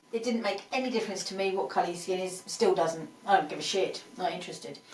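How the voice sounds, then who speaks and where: With noticeable background noise behind her, a woman speaks in an English accent with lively intonation. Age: 50s. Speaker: podcast co-host. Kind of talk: casual chat.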